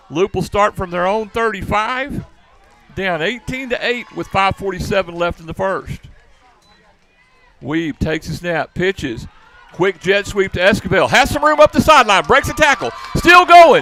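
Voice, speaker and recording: A man with a high pitch speaks in a raised, projected voice at a moderate pace, using very wide pitch swings, big swings in loudness and an animated tone. Long, frequent pauses break up his speech, and the sound is dry and close with no echo, though noticeable background noise is present. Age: old. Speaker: football play-by-play announcer. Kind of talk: live commentary.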